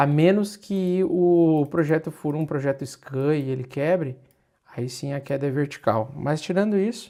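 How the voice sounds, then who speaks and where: A man speaks at a fairly slow pace in a dark, mellow tone. The recording is very clean, with a silent background. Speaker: crypto market analyst. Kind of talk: livestream market analysis. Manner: exasperated, emphatic.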